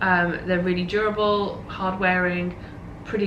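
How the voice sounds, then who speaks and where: A woman with a London accent talks at a moderate pace. The recording has audible room echo and noticeable background noise. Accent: British (London). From Northwest London, England. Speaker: podcast host. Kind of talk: casual chat. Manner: hesitant, many fillers.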